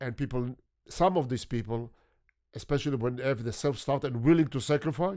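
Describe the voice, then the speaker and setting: In a very clean recording with a silent background, a man with a non-native accent talks at a fairly quick pace, his medium pitch showing ordinary variation. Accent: foreign accent, noticeably non-American. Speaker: photographer. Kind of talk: interview conversation.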